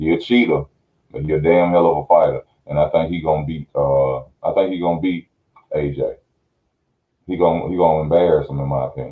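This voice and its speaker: A fairly quick pace with long, frequent pauses and fairly even intonation. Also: man, very deep, low pitch for a man. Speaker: boxing commentator on video channel. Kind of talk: casual live stream chat. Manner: low energy, subdued. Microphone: muffled audio.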